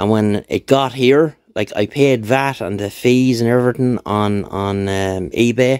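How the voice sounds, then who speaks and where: A man with an Irish accent at medium pitch, with ordinary pitch variation, in a dry sound with no echo. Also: quiet background. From Ireland. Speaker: YouTuber, motorbike tinkerer. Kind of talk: casual vlog update. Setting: home workshop, on camera. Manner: rambling, relaxed. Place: workshop. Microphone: phone near.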